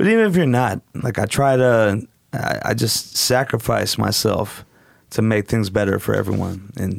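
A man talks with a West Coast accent. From Portland, Oregon, US. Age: 40s. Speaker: DJ and strip club event promoter. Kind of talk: casual chat. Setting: studio.

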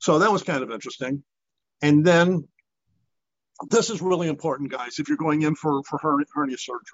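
A man with a fairly high voice talks at a moderate speed, his pitch shifting in an ordinary way. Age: 60s. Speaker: fitness group leader, retiree. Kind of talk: interview.

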